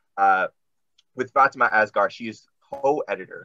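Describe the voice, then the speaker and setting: A man is speaking. He talks with an American accent. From Washington DC. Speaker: poet and teacher, event co-host. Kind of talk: casual hosting, interview. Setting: video call. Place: home room. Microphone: video call.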